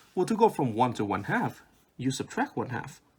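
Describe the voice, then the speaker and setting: A man with vocal fry speaks at a moderate pace, his pitch swinging very widely. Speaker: math tutor. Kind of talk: math tutorial explanation.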